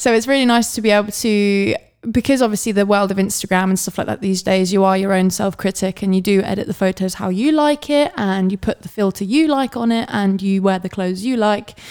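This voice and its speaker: Animated and at a fairly quick pace, a woman speaks at a medium pitch with ordinary pitch variation. She takes hardly any pauses. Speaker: podcast co-host and model. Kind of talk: casual chat. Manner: chatty, animated, laughs often.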